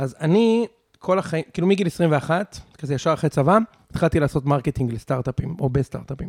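Fairly high-pitched and lively in intonation, a man with a normal speaking voice talks at a fairly quick pace in a dry, close recording with no echo. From Israel, Savyon and Ramat Gan. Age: 30s. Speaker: podcaster and tech marketer. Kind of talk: casual chat. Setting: dinner at a loft.

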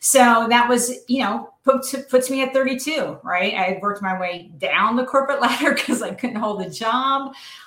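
Against noticeable background noise, a woman with a high voice talks at a moderate pace with hardly any pauses and ordinary pitch variation. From New Jersey. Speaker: former judge in recovery, author. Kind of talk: interview testimony. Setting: live stream.

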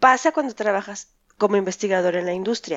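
A woman at a very fast pace, her intonation lively. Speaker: podcast co-host, scientist. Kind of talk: casual chat.

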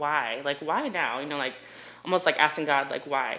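A woman with a very deep, low pitch and a bright, sharp tone talks at a fairly quick pace with an American accent. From Ohio, US (Delaware, near Columbus). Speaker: portrait photographer. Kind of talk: podcast interview.

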